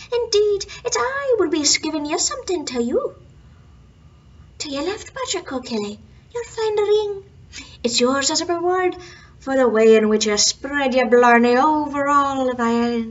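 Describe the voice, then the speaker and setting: In a put-on character voice, a woman speaks high for a woman at a moderate pace. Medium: read story. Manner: sly, mocking.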